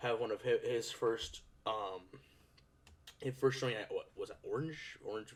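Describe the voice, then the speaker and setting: His pitch is medium for a man, and this man's speech shows ordinary pitch variation. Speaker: card game YouTuber. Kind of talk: casual commentary video. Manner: fast. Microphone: echo in the video.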